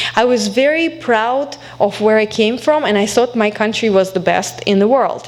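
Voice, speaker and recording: A woman's fairly high pitch at a moderate pace, with ordinary pitch variation, very even loudness and noticeable background noise. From Belarus. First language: Belarusian or Russian. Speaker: alumna guest speaker, academic. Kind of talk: speech to college audience.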